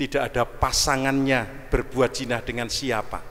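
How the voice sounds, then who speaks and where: Delivery is very slow, with noticeable background noise behind it. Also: man. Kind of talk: sermon. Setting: church.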